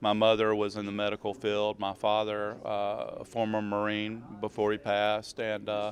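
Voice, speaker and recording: Speaking at a fairly low pitch, a man talks with a Southern US accent. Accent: Southern US (Georgia). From US South, Georgia. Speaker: emergency preparedness manager. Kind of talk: interview. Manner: hesitant, many fillers.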